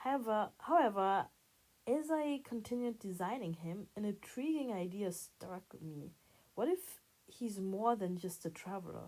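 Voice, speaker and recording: The woman's tone is dark and mellow, at a medium pitch. She talks at a fairly slow pace with lively intonation. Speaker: hobby artist and video creator. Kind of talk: voice-over narration of a drawing process.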